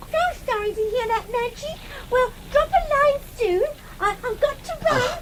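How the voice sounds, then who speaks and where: A woman's put-on character voice, extremely high-pitched, at a moderate pace over light background noise. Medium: old radio play. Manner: chatty, light.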